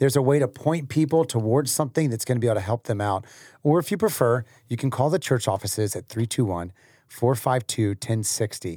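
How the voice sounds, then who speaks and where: A man's somewhat breathy voice, dark and mellow in tone, with lively intonation and a fairly quick pace, on a very clean recording with a silent background. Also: medium pitch for a man. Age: 30s. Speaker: pastor. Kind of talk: casual chat. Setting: studio.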